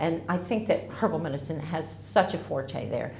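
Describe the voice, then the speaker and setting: A woman with an American accent speaks at a very deep, low pitch, her pitch swinging very widely. Audible room echo and light background noise surround her. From US, Ozark Mountains region. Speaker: herbalist. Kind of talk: promotional talk to camera. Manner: casual, slightly halting. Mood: warm, enthusiastic. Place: home room.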